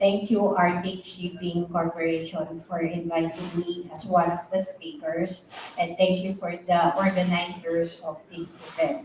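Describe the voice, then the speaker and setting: A woman with a Filipino accent, fairly low-pitched and fairly slow, over noticeable background noise. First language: Tagalog. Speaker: psychiatrist speaker. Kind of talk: lecture. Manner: halting.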